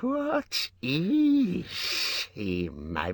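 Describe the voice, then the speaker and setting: A man's put-on character voice with hissing. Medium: read story. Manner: talks to himself, wheedling, broken grammar.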